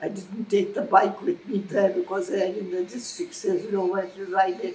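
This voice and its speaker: Noticeable background noise is present. Over it, a woman speaks at a medium pitch. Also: ordinary pitch variation, moderate pace. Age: 80s+. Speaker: former motorcyclist. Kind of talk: interview answer.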